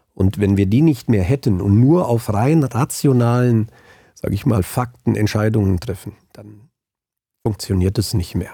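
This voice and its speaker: Fairly low in pitch, a man with a dark, mellow tone speaks at a fairly slow pace with ordinary pitch variation. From Germany, central Hesse (Hinterland, Angelburg). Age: 50s. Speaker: auditor and tax advisor. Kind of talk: interview.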